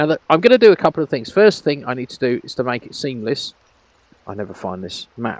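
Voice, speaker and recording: A man speaks at a very fast pace with very wide pitch swings, big swings in loudness and vocal fry, in a dry, close sound with no echo. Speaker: virtual world grid owner and tutorial maker. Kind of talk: screen-recorded tutorial. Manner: casual, hesitant with fillers.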